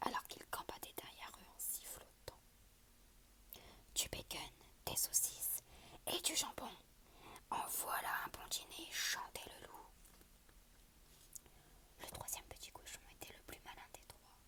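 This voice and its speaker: The speaker whispers very slowly, with long, frequent pauses. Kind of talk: whispered story reading for ASMR. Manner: whispered.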